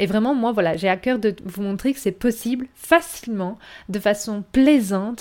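This woman has a plain, everyday voice with ordinary pitch variation. She speaks at a fairly slow pace. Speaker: podcast host and wellness coach. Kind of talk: monologue podcast intro.

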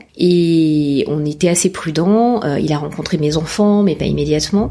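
There is noticeable background noise as a woman talks at a very slow pace in a fairly low pitch. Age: 40s. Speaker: mother sharing her story. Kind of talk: testimony. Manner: halting, many fillers.

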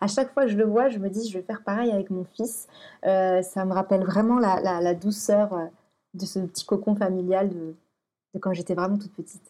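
Against a quiet background, a woman with a medium pitch and dark, mellow tone speaks at a moderate pace with fairly even intonation. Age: 30s. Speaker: blogger and photographer. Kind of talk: interview about personal life. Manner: halting, many repetitions and hesitations.

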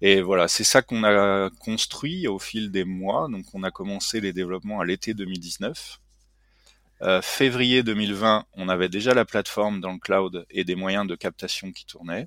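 On a very clean recording with a silent background and a dry, close sound with no echo, a man with an unremarkable speaking voice talks at a fairly slow pace and fairly low pitch, his intonation fairly even but his loudness swinging widely. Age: 40s. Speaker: tech startup CEO and engineer. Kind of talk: interview.

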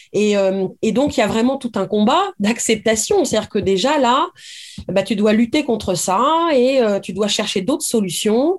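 A normal speaking voice at a fairly slow pace, with lively intonation. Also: woman, fairly high pitch for a woman. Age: 40s. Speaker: novelist. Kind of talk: interview.

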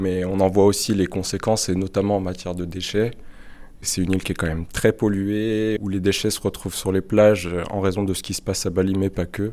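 This man's fairly low voice has a dark, mellow tone and a monotone, flat delivery at a fairly quick pace. The recording is very clean, with a silent background. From France, Nord-Isère. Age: 20s. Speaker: engineer. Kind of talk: interview testimony.

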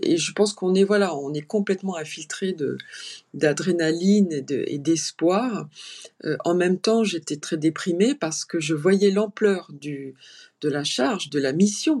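At a fairly slow pace, a woman speaks in a fairly low voice. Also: ordinary pitch variation. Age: 50s. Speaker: clinical psychologist and family caregiver. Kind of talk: interview testimony. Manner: halting.

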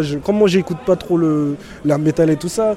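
Fairly high-pitched male voice amid noticeable background noise. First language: English (speaking French). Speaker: prison inmate. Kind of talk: interview.

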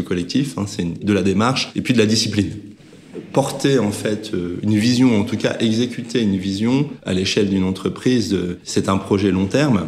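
Audible room echo surrounds a man speaking at a moderate pace, his fairly low pitch showing ordinary variation. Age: 50s. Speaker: management consultant and company co-founder. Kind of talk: interview conversation. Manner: hesitant, many filler sounds.

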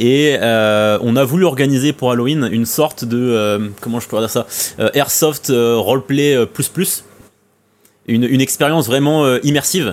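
With a plain, everyday voice, a man speaks at a fairly slow pace, with a medium pitch and ordinary pitch variation. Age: 20s. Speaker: airsoft website co-founder. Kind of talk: casual chat.

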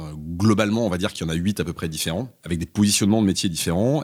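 A normal speaking voice from a man, fairly low in pitch, on a very clean recording with a silent background. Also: dry, close sound with no echo. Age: 40s. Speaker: company CEO. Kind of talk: interview. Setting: in person at guest's office.

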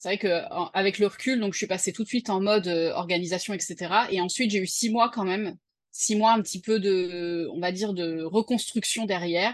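A woman speaks at a moderate pace with a medium pitch and ordinary pitch variation. The background is quiet. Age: 30s. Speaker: freelancer and mother. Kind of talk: personal testimony interview. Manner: hesitant, many fillers.

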